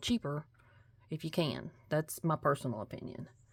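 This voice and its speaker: Speaking with a Kentucky accent, a woman with a very deep, low pitch keeps her intonation fairly even on a very clean recording with a silent background. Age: 40s. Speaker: nail art youtuber. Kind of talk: casual haul video talk. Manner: casual, hesitant with fillers.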